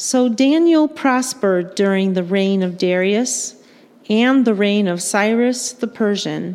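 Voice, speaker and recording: A woman of medium pitch in a normal speaking voice, at a fairly slow pace, with ordinary pitch variation and very even loudness. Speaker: liturgist reading scripture. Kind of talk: scripture reading in church. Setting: church.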